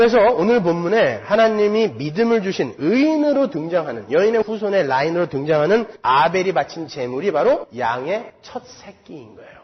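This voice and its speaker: A high-voiced man talks at a moderate pace with hardly any pauses. His pitch swings very wide, and his loudness swings a lot. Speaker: pastor. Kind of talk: sermon.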